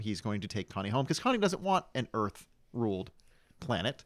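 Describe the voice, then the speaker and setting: On a very clean recording with a silent background, a man with an American accent and an unremarkable speaking voice talks at medium pitch and a moderate pace. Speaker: podcast guest, amateur filmmaker. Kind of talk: casual chat.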